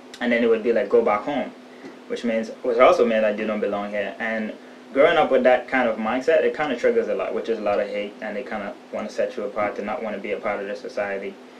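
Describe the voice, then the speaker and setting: Through audible room echo and noticeable background noise, a man speaks at a very fast pace. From The Bahamas, Haitian family. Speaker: documentary interviewee. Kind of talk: interview testimony. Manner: halting.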